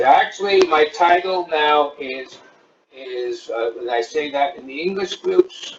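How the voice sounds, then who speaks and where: Over music in the background, a man speaks with big swings in loudness and ordinary pitch variation. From United States. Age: 60s. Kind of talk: interview.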